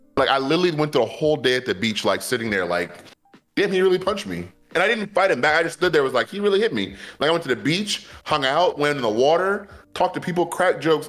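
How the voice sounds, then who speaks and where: Animated and very fast, a man speaks in a fairly high pitch with lively intonation and vocal fry. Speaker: podcast co-host. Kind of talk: casual chat. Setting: live stream.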